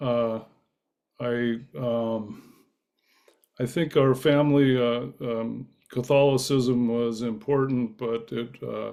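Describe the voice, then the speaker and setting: A man's dark, mellow tone with monotone, flat intonation, a very slow pace and long, frequent pauses. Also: medium pitch for a man. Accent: American. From California, Bay Area. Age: 70s. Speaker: Zen practitioner. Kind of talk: personal talk on spiritual path. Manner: halting, many fillers.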